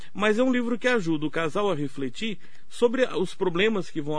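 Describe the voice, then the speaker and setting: There is audible echo in the room. A man talks with lively intonation. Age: 70s. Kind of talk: radio interview.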